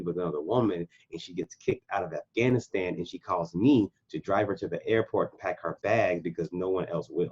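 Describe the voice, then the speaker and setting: A man with an American accent uses an ordinary speaking voice at a fairly low pitch and a moderate pace, in a dry, close sound with no echo. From USA, Oklahoma. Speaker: military veteran and coach. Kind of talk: interview answer.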